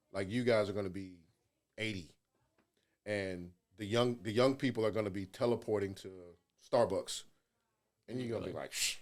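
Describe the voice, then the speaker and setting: Long, frequent pauses break up a man's speech at a moderate pace. His pitch is fairly low and his intonation fairly even. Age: 50s. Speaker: school administrator, former teacher and coach. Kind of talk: casual chat. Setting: studio.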